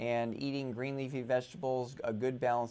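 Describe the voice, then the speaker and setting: At a moderate pace and medium pitch, a man talks in an ordinary speaking voice. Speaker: retina surgeon. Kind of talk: interview answer.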